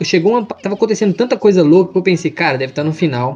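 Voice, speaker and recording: This man has a high voice with lively intonation. Noticeable background noise sits behind him. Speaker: podcast co-host. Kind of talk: casual chat.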